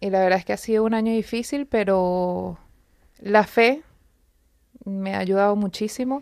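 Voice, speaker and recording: In a very clean recording with a silent background, a woman at medium pitch talks at a fairly slow pace with long, frequent pauses and ordinary pitch variation. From Venezuela. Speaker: wife of cancer patient. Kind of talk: testimony. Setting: live radio.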